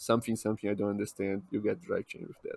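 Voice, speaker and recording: A man speaks with a Brazilian accent at a fairly low pitch. The sound is dry and close, with no echo. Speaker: podcast co-host. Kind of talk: casual chat.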